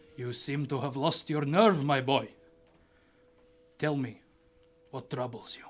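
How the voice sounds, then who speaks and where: A man uses a put-on character voice at a fairly high pitch. He moves at a fairly slow pace with long, frequent pauses. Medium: actual play. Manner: authoritative, paternal.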